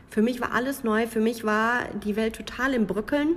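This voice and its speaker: Noticeable background noise comes through as a woman talks at a fairly high pitch. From Münsterland, Germany. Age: 20s. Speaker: podcaster. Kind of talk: personal monologue podcast.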